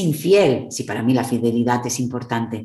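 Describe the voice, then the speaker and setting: Somewhat breathy, a woman speaks in a very deep, low pitch as room echo sounds around her. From Spain. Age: 50s. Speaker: psychologist and therapist. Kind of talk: interview. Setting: video call.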